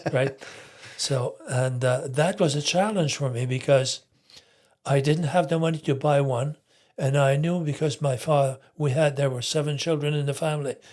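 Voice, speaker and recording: Somewhat breathy and fairly high in pitch, a man's voice keeps fairly even intonation at a moderate pace. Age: 80s+. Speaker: retired entrepreneur. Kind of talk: interview answer. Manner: hesitant.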